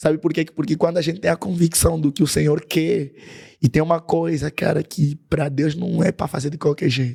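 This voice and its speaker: This man talks at a moderate pace and a fairly high pitch, with fairly even intonation. His tone is dark and mellow, and somewhat breathy. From Angola. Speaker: worship singer. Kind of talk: podcast interview.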